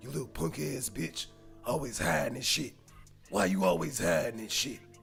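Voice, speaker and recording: A man speaks in a put-on character voice at a medium pitch and a moderate pace. Clear music plays in the background. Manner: aggressive, ranting.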